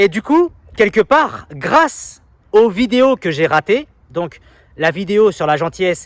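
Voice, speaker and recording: This man has a high-pitched voice with very wide pitch swings. The sound is dry and close, with no echo. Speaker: self-help YouTuber and coach. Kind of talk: casual vlog monologue. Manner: quiet.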